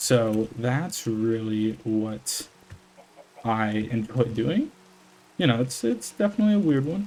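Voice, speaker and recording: A man speaks quietly in a relaxed, dark, mellow tone. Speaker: gaming YouTuber, college student. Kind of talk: casual unedited gameplay commentary. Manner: relaxed, hesitant with fillers.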